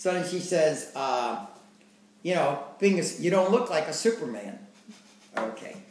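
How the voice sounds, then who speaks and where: A man speaks here with a fairly high pitch. Noticeable background noise runs behind him. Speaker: storyteller recounting his life. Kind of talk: casual conversational storytelling.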